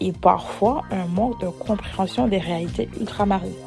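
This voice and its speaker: Speaking in a Caribbean accent, a woman has a fairly low pitch, a dark, mellow tone and a somewhat breathy sound, with ordinary pitch variation at a moderate pace. The recording is very clean with a silent background. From Saint-Martin, Caribbean. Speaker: interviewee. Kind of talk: testimony. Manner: hesitant, many fillers.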